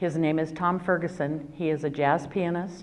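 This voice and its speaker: Speaking with an American accent, a woman has a very deep, low pitch and fairly even intonation. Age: 60s. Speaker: retired attorney, domestic violence workshop speaker. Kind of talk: personal testimony at a workshop.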